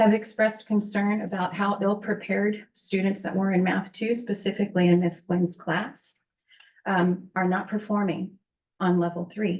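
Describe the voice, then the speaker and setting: A woman's shaky, somewhat breathy voice holds a medium pitch and a moderate pace, with monotone, flat intonation. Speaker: parent speaking at public comment. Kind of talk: public comment at board meeting. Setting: public board meeting.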